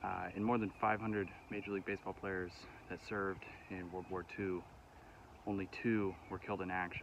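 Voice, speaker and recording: A man's fairly low, monotone, flat voice at a moderate pace, with a dry sound with no echo and noticeable background noise. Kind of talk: casual vlog chat. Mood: respectful, reflective. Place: open country. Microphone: phone near.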